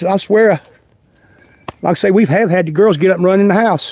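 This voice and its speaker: A man with a North Carolina accent speaks at a high pitch with ordinary pitch variation. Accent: Southern US, North Carolina. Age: 60s. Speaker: outdoor vlogger. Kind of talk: casual livestream walk-and-talk. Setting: outdoors. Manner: halting.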